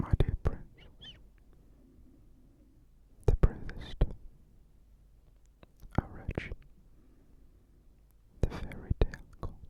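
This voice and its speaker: Someone whispers in a soothing tone over noticeable background noise. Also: man. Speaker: ASMR storyteller. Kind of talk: bedtime fairy tale reading. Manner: whispered; soft, soothing.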